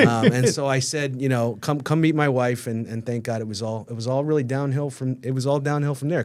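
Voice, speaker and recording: A man speaks at a medium pitch with a New York accent. His pace is fairly quick. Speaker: rabbi. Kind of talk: casual chat. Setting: studio. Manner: fast; loud.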